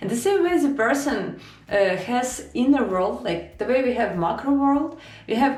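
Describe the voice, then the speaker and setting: With lively intonation and a Ukrainian accent, a woman speaks at a fairly slow pace amid audible room echo. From Ukraine. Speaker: self-help / spiritual video creator. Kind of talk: informal spiritual talk to camera. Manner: halting, with fillers and restarts.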